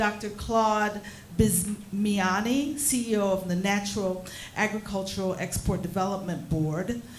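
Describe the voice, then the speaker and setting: A fairly slow pace amid audible room echo and noticeable background noise. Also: woman, medium pitch for a woman, ordinary pitch variation. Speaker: session chair. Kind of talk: formal moderation. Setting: hotel seminar with audience. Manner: formal.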